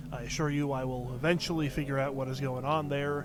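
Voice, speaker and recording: Audible room echo surrounds a man's voice. He talks at a fairly quick pace with a fairly high pitch. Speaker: game streamer. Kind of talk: live gameplay commentary. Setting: live stream from home. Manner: quiet voice; hesitant, many fillers. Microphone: cheap mic, boosted input with hissing.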